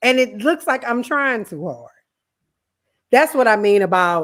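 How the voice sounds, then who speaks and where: At a moderate pace, a woman speaks in a Southern US accent with very wide pitch swings. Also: very clean recording, silent background. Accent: country accent, Southern US. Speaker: podcast co-host. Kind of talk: casual chat.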